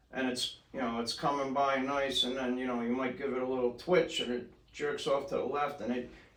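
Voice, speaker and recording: Speaking fairly quickly, a man is heard with audible room echo and noticeable background noise. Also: medium pitch for a man, fairly even intonation. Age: 50s. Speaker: surf fishing club president. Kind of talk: casual chat.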